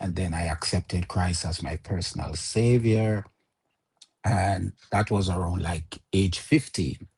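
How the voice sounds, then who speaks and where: Somewhat breathy and very deep, low in pitch, a man talks at a fairly slow pace with ordinary pitch variation. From Jamaica. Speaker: interview guest. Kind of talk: interview, personal testimony. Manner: halting with many fillers.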